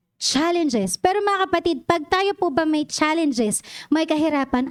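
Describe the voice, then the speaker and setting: A woman talks at a moderate pace in an animated tone. Her high pitch swings very widely. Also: very even loudness. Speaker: lay preacher. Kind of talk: sermon. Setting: church with congregation.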